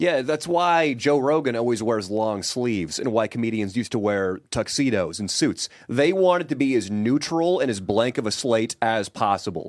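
A man with an ordinary speaking voice talks at a moderate pace and medium pitch, with lively intonation and hardly any pauses. The recording is very clean, with a silent background. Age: 30s. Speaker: podcast co-host and comedic vlogger. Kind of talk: casual chat. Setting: studio.

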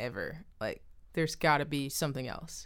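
The voice carries an American accent and fairly even intonation. The recording is very clean, with a silent background. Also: woman. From Austin, Texas. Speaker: comedian and rapper. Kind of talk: casual chat.

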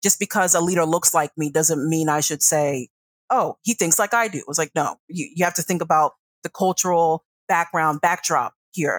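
A woman with a plain, everyday voice speaks at a fairly low pitch and a moderate pace, with ordinary pitch variation and a dry, close sound with no echo. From US, northern Virginia (Centreville), Ghanaian immigrant parents. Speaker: foreign policy consultant. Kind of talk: interview.

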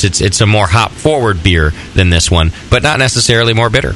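There is noticeable background noise as a man talks at a fairly quick pace and medium pitch. His intonation is lively. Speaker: radio host. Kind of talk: casual banter. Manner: joking, animated.

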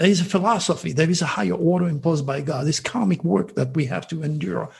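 Vocal fry runs through a man's fairly high voice. He talks at a fairly quick pace. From France. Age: 70s. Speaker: astrologer and hypnotherapist. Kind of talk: interview.

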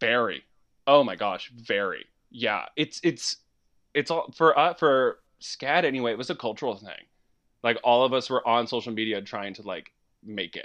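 A man with an American accent at medium pitch and a moderate pace, with long, frequent pauses and big swings in loudness over a quiet background. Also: lively intonation. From US, West Virginia. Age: 20s. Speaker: storyboard artist. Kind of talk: casual chat. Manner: animated.

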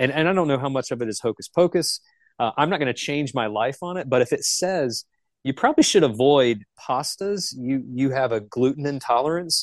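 A man with an American accent speaks at a fairly quick pace in a plain, everyday voice, his pitch fairly high with ordinary variation, recorded dry and close with no echo against a quiet background. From Charlotte, North Carolina. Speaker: utility company manager. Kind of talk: casual interview.

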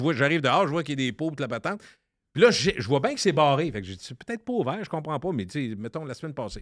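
The speaker goes at a very fast pace with very wide pitch swings and big swings in loudness, captured in a very clean recording with a silent background. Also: man, fairly high pitch for a man. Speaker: radio columnist. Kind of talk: casual chat.

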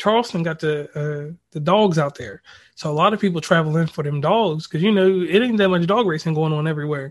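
A man speaks at a fairly quick pace against a quiet background in a plain, everyday voice, with fairly high pitch and ordinary pitch variation. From central Virginia (Lynchburg). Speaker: podcaster. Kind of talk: casual chat.

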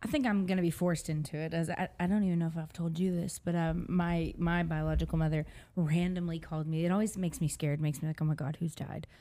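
At a very fast pace with hardly any pauses, a woman speaks in a fairly low voice with a dark, mellow tone and fairly even intonation. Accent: American. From Texas. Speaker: podcast co-host. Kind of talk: casual chat.

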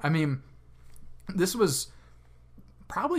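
Somewhat breathy in tone, a man speaks fairly slowly. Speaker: sports podcast co-host. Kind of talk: casual sports recap chat.

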